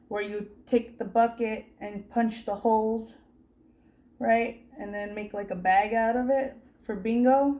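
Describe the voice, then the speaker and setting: With a normal speaking voice, a woman talks at a fairly slow pace and a fairly high pitch, her loudness swinging widely. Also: fairly even intonation. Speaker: crochet YouTuber. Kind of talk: casual interview questions to camera.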